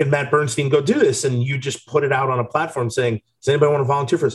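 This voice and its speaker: A man speaks at a very fast pace in a fairly high, somewhat breathy voice with fairly even intonation. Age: 30s. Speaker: podcast co-host, former college football player. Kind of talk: casual chat.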